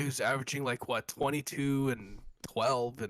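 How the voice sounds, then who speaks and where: This man's voice sits at a fairly high pitch. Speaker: basketball podcast host. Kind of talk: casual chat. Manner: animated.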